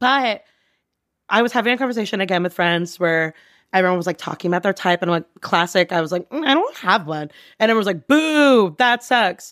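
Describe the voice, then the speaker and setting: On a very clean recording with a silent background, a woman speaks fairly quickly in an animated tone, her pitch swinging very widely. The sound is dry and close with no echo, and she leaves long, frequent pauses. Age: 30s. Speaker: advertising worker. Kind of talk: casual chat.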